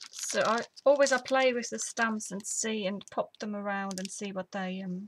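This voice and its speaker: A woman with a medium-pitched, somewhat breathy voice speaks at a fairly slow pace with fairly even intonation. Her loudness swings widely, and she leaves long, frequent pauses. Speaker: papercraft tutorial host. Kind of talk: tutorial. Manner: casual.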